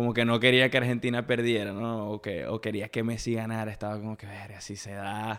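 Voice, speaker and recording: The pace is fairly quick, with hardly any pauses. Loudness swings widely throughout. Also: man, medium pitch for a man. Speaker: podcast host. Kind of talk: casual chat. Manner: animated.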